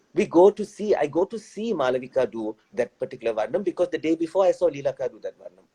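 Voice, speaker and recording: A man's high-pitched voice with a dark, mellow tone, very fast with hardly any pauses, very wide pitch swings and big swings in loudness, in a dry, close sound with no echo. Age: 40s. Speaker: dancer and choreographer. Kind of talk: interview.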